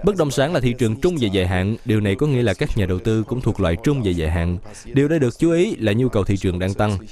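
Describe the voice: With lively intonation and a fast pace, a man speaks in a fairly low voice that has a slightly mellow tone.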